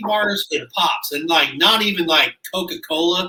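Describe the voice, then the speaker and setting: A man's raised, projected voice in a Kansas accent. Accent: rural Midwestern (Kansas). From Kansas, Abbyville. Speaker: podcast co-host and rodeo cowboy. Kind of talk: casual chat. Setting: at a house.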